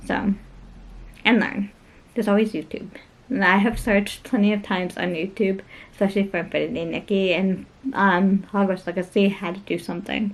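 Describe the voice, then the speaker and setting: The delivery is fairly quick, with vocal fry, monotone, flat intonation and long, frequent pauses. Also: woman, medium pitch for a woman. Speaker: lifestyle vlogger. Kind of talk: casual vlog talk. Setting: at home.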